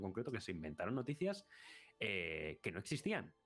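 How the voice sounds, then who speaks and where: The man talks fairly quickly while music plays in the background. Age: 30s. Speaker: YouTuber, film and series analyst. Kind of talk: casual chat.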